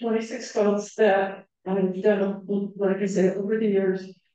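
The room echo is audible around a woman speaking very slowly. Her intonation stays fairly even against a quiet background. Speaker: guest. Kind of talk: presentation talk. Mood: warm, chatty. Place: hall.

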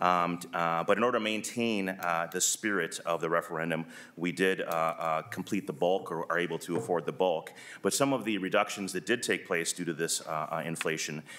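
A man with a very deep, low pitch and a bright, sharp tone speaks at a moderate pace with ordinary pitch variation. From US Midwest. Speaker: school superintendent. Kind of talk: legislative testimony. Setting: committee hearing room. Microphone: podium.

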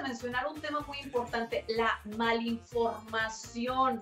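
A high-pitched woman with ordinary pitch variation, plus audible room echo and faint music in the background. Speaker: TV show host. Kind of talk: TV interview hosting. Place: home room. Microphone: webcam.

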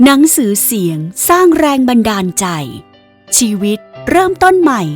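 Very wide pitch swings mark this voice, heard with music in the background. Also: woman. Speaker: voice actor. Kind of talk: inspirational audiobook narration.

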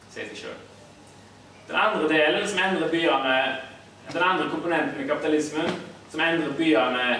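Amid light background noise and audible room echo, a man with a fairly high pitch talks at a fairly quick pace. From Haugesund, Norway. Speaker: academic and political activist. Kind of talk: lecture. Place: hall. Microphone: camera far.

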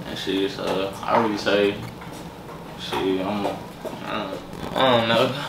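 Against loud background noise, a man talks at a very slow pace with long, frequent pauses. His pitch is fairly low and his intonation flat and monotone. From Minnesota and Texas. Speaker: rapper. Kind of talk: casual interview. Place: kitchen.

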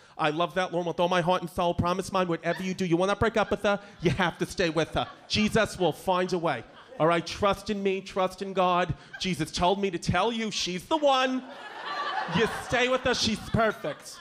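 With a New York accent, a man talks at a moderate pace and a high pitch, with ordinary pitch variation and light background noise. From Bushwick, Brooklyn, New York. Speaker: stand-up comedian. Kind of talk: stand-up. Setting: stage with audience. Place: stage. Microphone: handheld.

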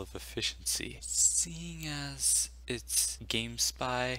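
A quiet man is heard on a very clean recording with a silent background. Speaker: gaming video commentator. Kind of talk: casual gaming news talk over gameplay.

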